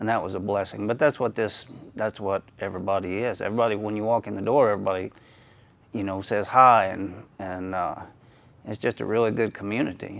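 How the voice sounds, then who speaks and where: A man with a fairly low pitch. He talks at a fairly quick pace with fairly even intonation. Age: 60s. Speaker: masters powerlifter. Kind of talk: interview testimony. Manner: halting, many fillers.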